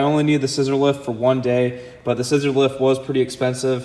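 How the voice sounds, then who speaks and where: Moving at a fairly quick pace, a man speaks. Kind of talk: casual vlog chat. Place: garage. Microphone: phone near.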